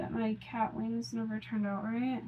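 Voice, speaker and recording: A woman talks at a moderate pace, and background noise can be clearly heard behind her. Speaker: makeup vlogger. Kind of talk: casual chat. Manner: soft-spoken.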